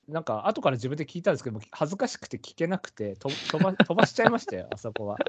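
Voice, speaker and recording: A man with a fairly high pitch races along very fast with hardly any pauses, his pitch swinging very widely and his loudness shifting a lot. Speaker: horse racing podcast host. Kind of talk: casual chat. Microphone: too quiet, poor sound quality.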